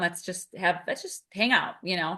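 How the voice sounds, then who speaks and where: Loud and bright with a sharp tone, a woman speaks at medium pitch over a quiet background. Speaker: podcast co-host, behavior analyst mentor. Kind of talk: casual podcast conversation.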